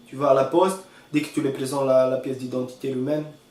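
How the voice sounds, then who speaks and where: A man in a room with audible echo and noticeable background noise. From northern Romania, Maramures. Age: 30s. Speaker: hotel manager, immigrant. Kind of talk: interview testimony. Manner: halting, many repetitions.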